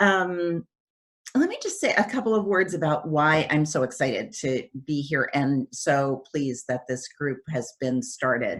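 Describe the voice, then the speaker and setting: A woman's very deep, low pitch with lively intonation at a fairly slow pace. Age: 60s. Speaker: development economist and organization CEO. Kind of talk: Q&A talk. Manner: hesitant, many fillers.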